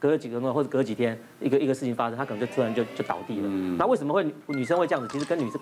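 A man with a Taiwanese accent speaks at a very fast pace, his pitch medium and his intonation lively. Noticeable noise runs in the background. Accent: Taiwanese Mandarin. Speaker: physician on TV panel; TV guest. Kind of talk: TV talk show discussion. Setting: TV studio. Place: studio.

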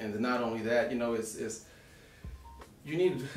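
Talking at a very fast pace, a man is heard over clear background music, with audible echo in the room. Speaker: podcast guest. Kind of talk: casual conversation. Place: studio.

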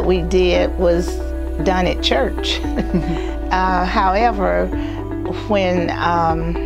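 Clear music plays behind a woman who talks at a very slow pace with an American accent. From North Titusville, Florida. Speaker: oral history interviewee. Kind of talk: interview answer. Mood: warm, nostalgic, smiling. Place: office. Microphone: lapel.

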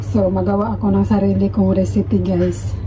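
A woman's very deep, low voice in a flat monotone, over light background noise. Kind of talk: casual vlog chat. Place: kitchen. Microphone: phone near.

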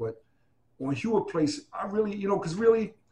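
Fairly quick speech from a man with a New York accent, over light background noise. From Hunts Point, The Bronx. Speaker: graffiti writer and former army boxer; interviewee. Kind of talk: interview answer.

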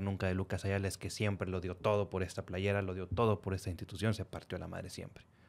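A man talks fairly quickly in a normal speaking voice, his pitch fairly low. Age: 30s. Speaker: podcast host; podcast host interviewer. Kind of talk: interview. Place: studio. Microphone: studio mic.

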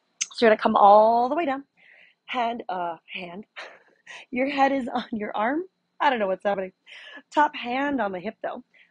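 Against a quiet background, the dry, echo-free voice moves at a moderate pace with a calm tone and lively intonation. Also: woman. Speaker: fitness instructor. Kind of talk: guided exercise class, leading a Pilates workout with cues. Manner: calm, instructional, encouraging; rhythmic counting, paced to the movement. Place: home room.

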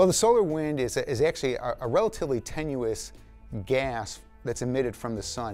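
Faint music plays in the background. Over it, a man speaks at a fairly quick pace. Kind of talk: interview answer. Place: studio. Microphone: lapel.

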